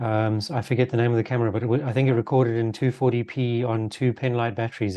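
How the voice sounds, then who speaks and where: Against a quiet background, a man speaks very fast at medium pitch with a dark, mellow tone. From Zimbabwe, Dutch parents. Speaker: road safety advocate and YouTuber. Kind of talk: podcast interview.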